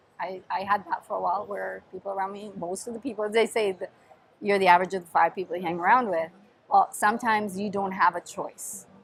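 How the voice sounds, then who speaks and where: Speaking at a very fast pace, a woman has an Italian accent and medium pitch. Her intonation is fairly even, but her loudness swings widely. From Sicily, southern Italy. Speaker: podcast host and dance teacher. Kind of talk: reverse interview, casual chat.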